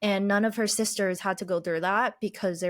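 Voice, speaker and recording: A woman with a Chinese accent speaks at a medium pitch with fairly even intonation, in a very clean recording with a silent background. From Boston, US (Chinese family, moved around a lot). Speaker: podcaster and life coach. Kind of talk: podcast interview, personal story.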